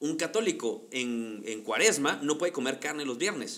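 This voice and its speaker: With a normal speaking voice, a man talks at a fairly slow pace in a fairly high pitch with lively intonation. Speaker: podcast co-host. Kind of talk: casual chat.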